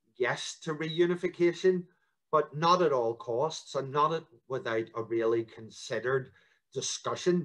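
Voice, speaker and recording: A man with a Northern Irish accent, a fairly slow pace and ordinary pitch variation, over a quiet background. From Northern Ireland. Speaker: local politician. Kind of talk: interview. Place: home room. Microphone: video call.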